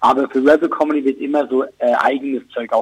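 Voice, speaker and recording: Heard dry and close with no echo at all, a man speaks. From Switzerland. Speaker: comedian. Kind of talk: casual chat.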